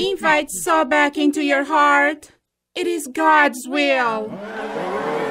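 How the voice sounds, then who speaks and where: A put-on character voice, high in pitch and very slow in pace. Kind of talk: radio comedy drama. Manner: grand, preaching.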